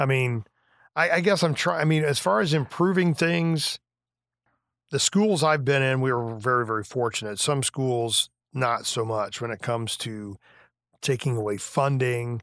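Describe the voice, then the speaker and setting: Lively intonation marks a man speaking with an American accent. His pitch is medium and his pace moderate. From western Illinois, rural farm. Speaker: retired high school band director. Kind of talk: casual interview. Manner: halting, many restarts.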